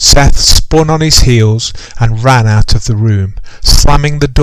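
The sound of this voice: The reading here comes in an unforced reading voice.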